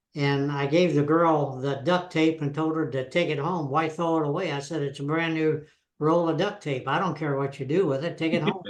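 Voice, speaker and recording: A man's fairly high voice at a moderate pace, with monotone, flat intonation. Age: 80s+. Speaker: veteran DXer, podcast co-host. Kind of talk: casual chat.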